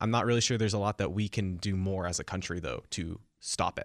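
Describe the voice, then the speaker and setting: A man with an American accent talks at a fairly quick pace and fairly low pitch, in a very clean recording with a silent background. He has a plain, everyday voice. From US West Coast, Silicon Valley. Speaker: college student, campus political club member. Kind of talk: radio interview.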